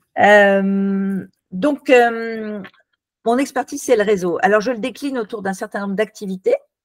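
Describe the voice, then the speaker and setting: A woman with an unremarkable speaking voice talks at a fairly slow pace and fairly high pitch, with ordinary pitch variation, in a dry, close sound with no echo. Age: 60s. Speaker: networking consultant and author. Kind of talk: interview.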